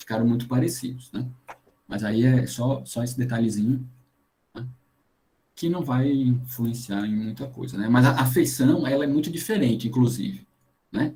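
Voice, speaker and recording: Speaking at medium pitch with fairly even intonation, a man has a dark, mellow tone and sounds somewhat breathy. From Paraíba coast, Brazil. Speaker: geoscience lecturer. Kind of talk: online lecture. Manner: fast.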